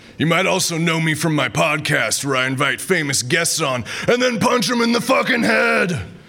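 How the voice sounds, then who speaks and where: Very wide pitch swings and very even loudness from a man with a fairly high pitch, at a moderate pace, amid noticeable background noise. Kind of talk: pitchman ad parody, bro-y energy drink and law firm commercials. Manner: loud, hyped, macho shouting, excitable, swaggering.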